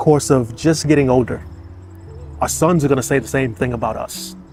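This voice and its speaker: A man with an American accent, medium pitch and ordinary pitch variation, with music in the background. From Boston. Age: 50s. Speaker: retired firefighter. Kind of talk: casual talk to camera. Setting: outdoors.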